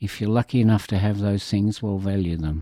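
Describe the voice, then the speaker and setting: In an Australian accent, a man speaks with a fairly low, dark, mellow voice and ordinary pitch variation, on a very clean recording with a silent background. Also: dry, close sound with no echo. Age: 70s. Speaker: HIV community advocate. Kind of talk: interview.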